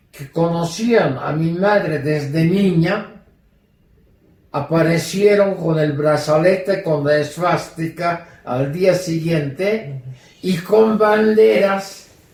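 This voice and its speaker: With a German accent, a man speaks very slowly at a high pitch, with ordinary pitch variation and audible room echo. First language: German (speaking Spanish). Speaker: Holocaust survivor. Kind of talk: testimony.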